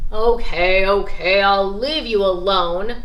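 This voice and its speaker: A woman uses a put-on character voice with a growling sound. Her pitch is medium and her pace fairly slow. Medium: read story.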